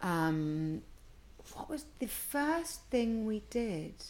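Here is a woman's voice. Her pitch swings very widely. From Bristol, England. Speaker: charity co-founder. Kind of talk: interview.

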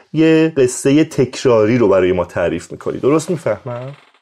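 The man's voice has a dark, mellow tone. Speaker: podcast host. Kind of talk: interview.

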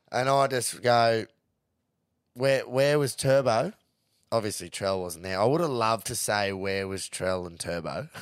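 In a Queensland accent, a man with a medium pitch speaks at a fairly slow pace, his tone animated and his intonation lively, on a very clean recording with a silent background. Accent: Australian, Queensland. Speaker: podcast host, rugby league and punting. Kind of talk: casual banter, sports recap. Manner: excitable, animated, swears a lot.

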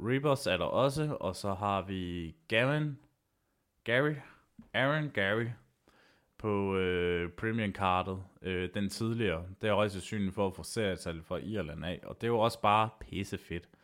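Very slow speech from a man at a fairly low pitch with ordinary pitch variation, in a very clean recording with a silent background. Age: 30s. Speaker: MMA podcast host. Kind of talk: solo podcast monologue. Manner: halting, many filler sounds.

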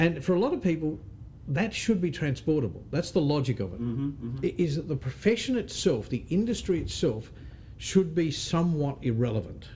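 Speaking fairly quickly, a man uses an Australian accent at a fairly high pitch. The tone is dark and mellow, and somewhat breathy. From Australia, Northern Territory (Darwin). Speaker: real estate association CEO. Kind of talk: interview.

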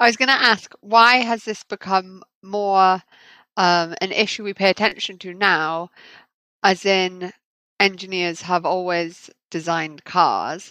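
A woman's medium-pitched voice, bright and sharp in tone, at a fairly slow pace with fairly even intonation. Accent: British. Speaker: podcast host, engineering academic. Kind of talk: interview.

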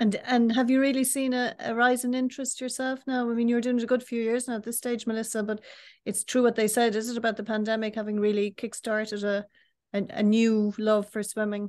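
A woman talks at a fairly quick pace with a fairly high pitch. Her intonation is monotone and flat, over a quiet background. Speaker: podcast host and newspaper editor. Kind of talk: interview. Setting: video call.

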